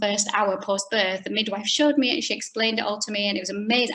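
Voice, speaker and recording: In a Yorkshire accent, a woman speaks at a fairly high pitch with a bright, sharp tone. Her pitch varies in an ordinary way. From Yorkshire, northern England. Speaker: pelvic health physiotherapist. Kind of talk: online talk. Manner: fast.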